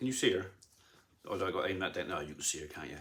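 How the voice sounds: With lively intonation and a fairly bright tone, a man speaks at a moderate pace.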